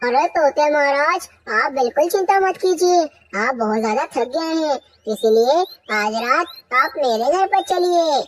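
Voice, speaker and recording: A cartoonish character voice, high in pitch, at a moderate pace. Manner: obsequious.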